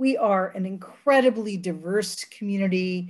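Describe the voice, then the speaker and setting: In a quiet background, a woman talks at a fairly slow pace with ordinary pitch variation. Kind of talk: presentation. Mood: proud, upbeat. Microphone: webcam.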